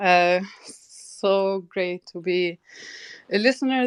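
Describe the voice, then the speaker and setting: The woman's medium-pitched voice comes through with a dry, close sound and no echo. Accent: non-native. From Tunisia. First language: not English; English is third language. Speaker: entrepreneur, community founder. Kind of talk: casual chat. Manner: halting.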